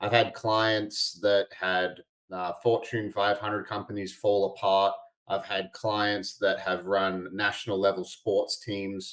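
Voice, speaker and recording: A man speaks with an Australian accent in a fairly low, flat monotone. His pace is very slow. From Australia, Albany (Western Australia). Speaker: integration coach and podcast host. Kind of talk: podcast interview.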